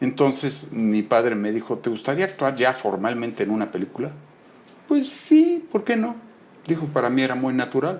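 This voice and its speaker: Lively intonation marks a man's normal speaking voice. He talks at a moderate pace and a medium pitch. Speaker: film actor and director. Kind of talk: interview.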